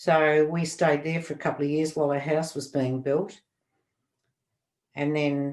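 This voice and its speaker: A woman with an Australian accent, very deep and low in pitch, flat and monotone, at a fairly slow pace. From Australia, Melbourne (Preston). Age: 70s. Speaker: podcast guest, interviewee's grandmother. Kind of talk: casual interview.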